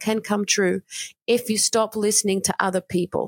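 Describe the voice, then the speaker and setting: In a dry, close sound with no echo, a woman with a plain, everyday voice talks at a moderate pace and medium pitch. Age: 40s. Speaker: podcast host and life coach. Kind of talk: solo monologue.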